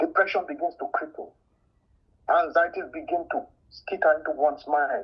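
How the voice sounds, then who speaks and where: At a moderate pace, a man talks with a strong Nigerian accent. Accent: thick Nigerian. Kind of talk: testimony.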